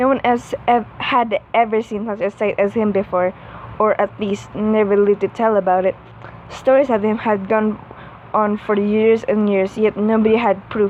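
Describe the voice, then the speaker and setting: Flat and monotone in intonation, a woman with a fairly high pitch speaks at a moderate pace. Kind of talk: read-aloud fan fiction story. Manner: stuttering, halting reading.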